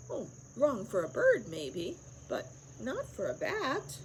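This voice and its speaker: A woman speaks loudly in a put-on character voice at a fairly slow pace, with clear background noise behind her. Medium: read story.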